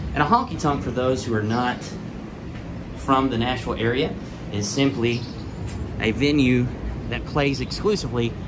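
Noticeable background noise sits behind a man speaking at a moderate pace. His pitch varies in an ordinary way. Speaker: travel vlogger. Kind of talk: walking tour commentary. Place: street. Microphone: phone near.

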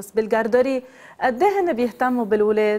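This woman speaks with a Lebanese accent. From Lebanon. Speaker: psychotherapist; guest. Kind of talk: TV interview. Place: studio. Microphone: lapel.

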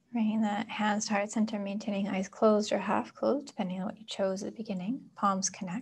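A woman of medium pitch speaks in a monotone, flat way, somewhat breathy, with hardly any pauses. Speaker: yoga and meditation teacher; meditation teacher. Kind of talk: guided meditation. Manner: slow, calm. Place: home room.

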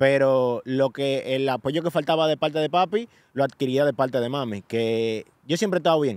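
Over a quiet background, a man talks at a moderate pace in a normal speaking voice, fairly high in pitch with ordinary pitch variation and a dry sound with no echo. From Dominican Republic, Santo Domingo; Dominican Republic. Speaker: social media influencer. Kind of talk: casual interview. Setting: New York. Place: open country. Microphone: studio mic.

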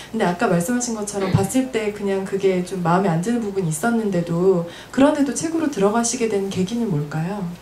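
A woman talks at a fairly quick pace and medium pitch, with lively intonation and hardly any pauses. There is light background noise and audible room echo. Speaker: event organizer and moderator. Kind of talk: moderated panel discussion. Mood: calm, thoughtful. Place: shop. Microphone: handheld.

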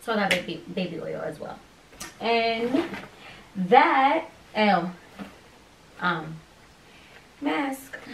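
Very slowly and with long, frequent pauses, a woman with an American accent speaks at a fairly high pitch with very wide pitch swings, amid audible room echo and light background noise. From Pennsylvania. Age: 20s. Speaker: YouTuber, expectant mother. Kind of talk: casual vlog. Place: home room. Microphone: camera far.

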